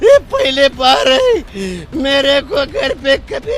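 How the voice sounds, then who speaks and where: A man talks at an extremely high pitch, with very wide pitch swings. There is noticeable background noise. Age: 60s. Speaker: flood-affected villager. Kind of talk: interview.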